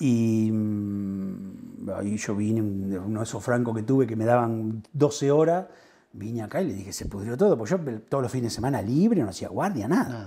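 The tone is dark and mellow, with lively intonation. The pace is moderate and the background is quiet. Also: man. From Argentina, Buenos Aires province. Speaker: local politician. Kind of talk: interview. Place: home room.

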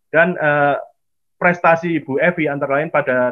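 A man's fairly high pitch at a moderate pace, ordinary pitch variation, quiet background. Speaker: historian and program host. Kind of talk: online seminar introduction. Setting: video call. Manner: halting, many fillers. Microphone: webcam.

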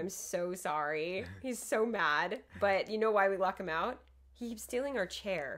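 The speech moves at a fairly quick pace. Its pitch variation is ordinary. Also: woman. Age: 30s. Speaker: podcast co-host. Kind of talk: casual chat. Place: home room. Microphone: studio mic.

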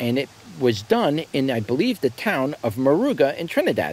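A man's fairly slow voice with very wide pitch swings, in a dry sound with no echo. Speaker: seed seller. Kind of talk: casual product review commentary. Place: garden.

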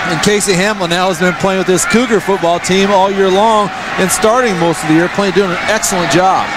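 A man's high-pitched voice, fairly quick, with fairly even intonation, very even loudness, and noticeable background noise. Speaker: on-field analyst. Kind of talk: sideline analyst commentary, measured and opinionated. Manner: measured, analytical, assured, fairly conversational.

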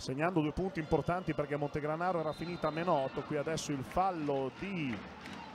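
A man speaks in a plain, everyday voice. His pitch is fairly high, with ordinary variation. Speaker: live TV basketball commentator. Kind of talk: live sports commentary, fast play-by-play of the action with short reactions. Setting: courtside at the arena, live TV broadcast. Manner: emotional, warm tone in the pre-game opening.

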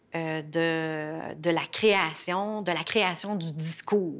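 A fairly low-pitched woman with ordinary pitch variation on a very clean recording with a silent background. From Quebec, Innu First Nation. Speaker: professor and former journalist. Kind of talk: interview. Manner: halting, many fillers.

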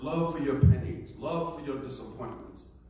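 A man's voice with strong room echo and noticeable background noise. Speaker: pastor. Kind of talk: Bible study teaching with congregation responses. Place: church.

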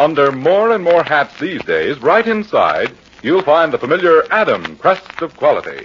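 A man puts on a character voice, fairly high in pitch with big pitch swings, a fairly bright tone and a slightly husky edge. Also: moderate pace.

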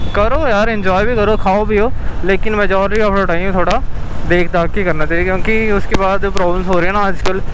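Dry, echo-free sound with noticeable background noise and a moderate pace. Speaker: motovlogger. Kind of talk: casual vlog chat. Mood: earnest, advising on health. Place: motorbike. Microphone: helmet.

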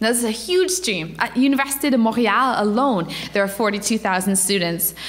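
With lively intonation and a fairly high pitch, a woman speaks at a moderate pace amid noticeable background noise and audible room echo. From Ontario. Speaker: campus missionary. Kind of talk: church presentation. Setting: church.

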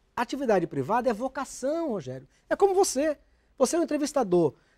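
Over a quiet background, a man with an extremely high pitch and a dark, mellow tone talks at a fairly quick pace with very wide pitch swings. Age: 50s. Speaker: politician. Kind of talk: TV interview. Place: studio. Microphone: lapel.

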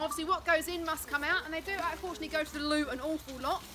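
Over clear background noise, a woman speaks at a very fast pace, high-pitched and with fairly even intonation.

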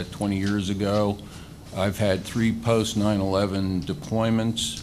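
Very slow and monotone, with flat intonation, a man speaks in a fairly low voice over light background noise. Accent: Midwestern American. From Ellis, Kansas; Kansas. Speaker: attorney and political candidate; candidate. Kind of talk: candidate forum speech. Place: meeting room. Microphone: podium.

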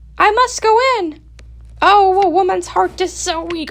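A woman's extremely high-pitched voice at a moderate pace. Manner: anxious, urgent.

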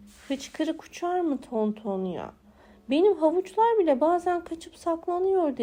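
Using a put-on character voice, a woman speaks at a fairly slow pace with an extremely high pitch. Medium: read story. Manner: easygoing, absent-minded.

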